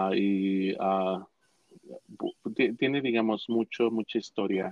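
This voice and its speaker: The speaker goes at a very slow pace with a central Mexican accent and fairly even intonation. The sound is dry and close, with no echo. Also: man. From Mexico, Cuautla, Morelos. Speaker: Mexican immigrant sharing his life story. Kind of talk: interview, personal storytelling. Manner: halting, many repetitions and fillers.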